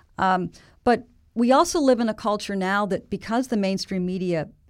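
An unremarkable speaking voice. A woman with an American accent talks at a moderate pace and medium pitch, with ordinary pitch variation, on a very clean recording with a silent background. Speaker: telecom policy researcher. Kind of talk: interview. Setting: studio.

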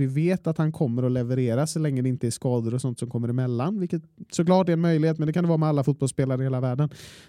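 A man's fairly high voice with a dark, mellow tone, ordinary pitch variation and a very fast pace. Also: dry, close sound with no echo. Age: 20s. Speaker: football podcast co-host. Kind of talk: casual chat. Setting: studio.

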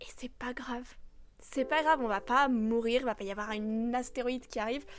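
A high-pitched woman speaks at a fairly quick pace with ordinary pitch variation, recorded very cleanly against a silent background. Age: 20s. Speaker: podcast host and coach. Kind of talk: unscripted solo monologue. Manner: hesitant, many fillers.

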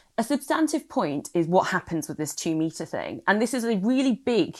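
Pitch swings very widely in this British accent, captured in a very clean recording with a silent background. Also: woman. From UK, immigrant family background. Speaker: former political adviser. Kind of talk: casual chat.

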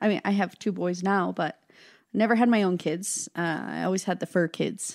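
A woman's voice with vocal fry, dry and close with no echo, on a very clean recording against a silent background. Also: medium pitch for a woman, fairly even intonation, moderate pace. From Wyoming (Casper). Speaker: podcast co-host, former dispatcher. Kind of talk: casual chat.

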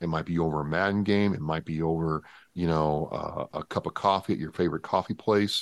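A man with a very deep, low voice and an American accent talks at a fairly quick pace with fairly even intonation, the sound dry and close with no echo against a quiet background. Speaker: Marine veteran and podcast host. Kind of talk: casual interview chat.

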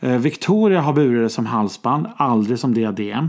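At a fairly slow pace, a man with medium pitch and ordinary pitch variation talks in a plain, everyday voice. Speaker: podcast host, royalty commentator. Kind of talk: casual chat.

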